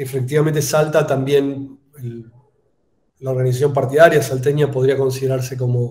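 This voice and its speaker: A man with a Buenos Aires accent, medium-pitched and somewhat breathy, with a dark, mellow tone, flat monotone intonation, moderate pace and audible room echo. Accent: porteño Buenos Aires. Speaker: political scientist and national government official. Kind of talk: conference Q&A answer. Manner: hesitant, many fillers (eh, este).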